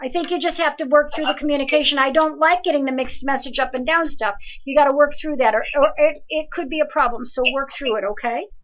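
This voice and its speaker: Very fast speech with hardly any pauses and ordinary pitch variation. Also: woman, high pitch for a woman. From New Jersey. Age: 60s. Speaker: evidential medium. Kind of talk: live call-in reading and advice show. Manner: animated.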